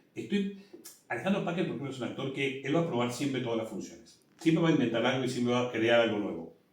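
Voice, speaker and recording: Speaking very fast with a Rioplatense accent, a man uses a medium pitch and lively intonation, with audible room echo around him. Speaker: musical theatre director. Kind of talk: interview.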